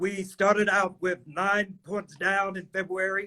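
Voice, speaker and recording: A man with a Mississippi accent uses a raised, projected voice. His tone is bright and sharp at a high pitch. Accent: US Southern (Mississippi). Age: 60s. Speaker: political candidate. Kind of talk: interview.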